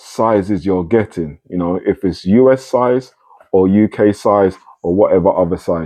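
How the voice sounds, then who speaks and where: Speaking with a British accent, a man keeps to a fairly slow pace. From UK. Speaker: sneaker reviewer. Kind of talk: casual unboxing review. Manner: casual, self-correcting.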